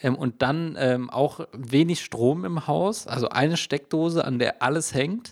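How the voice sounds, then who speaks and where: The speech is very slow, with hardly any pauses and ordinary pitch variation. The recording is very clean, with a silent background. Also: man, fairly high pitch for a man. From Hesse, Germany. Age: 20s. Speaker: podcast co-host. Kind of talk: casual chat.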